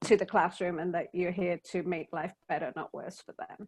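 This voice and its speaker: Against a quiet background, a woman with a British accent talks at a moderate pace. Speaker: DEI workshop presenter. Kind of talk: workshop Q&A discussion.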